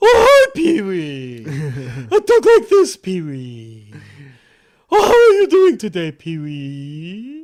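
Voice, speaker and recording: A man's put-on character voice at a very slow pace. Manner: cheery, greeting.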